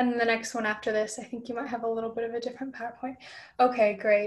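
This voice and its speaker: A woman's fairly high, monotone, flat voice against a quiet background. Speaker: presenter. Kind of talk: online presentation. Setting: video call. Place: home room. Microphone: video call.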